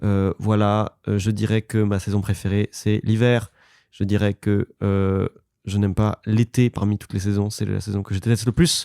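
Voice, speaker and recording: A man's fairly low, dark and mellow voice, monotone and flat, at a fairly slow pace, in a very clean recording with a silent background and a dry, close sound with no echo. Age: 20s. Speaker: singer. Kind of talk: casual chat. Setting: backstage dressing room. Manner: halting.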